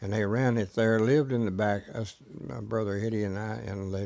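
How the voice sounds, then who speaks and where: A man's fairly low, dark, mellow voice in a Texas accent at a moderate pace. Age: 80s+. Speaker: storyteller. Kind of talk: oral history. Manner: halting.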